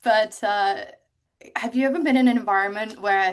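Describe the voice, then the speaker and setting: A woman talks at a moderate pace, her fairly high pitch showing ordinary variation. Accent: English. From England, Cotswolds. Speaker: ocean rower. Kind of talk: interview. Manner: animated.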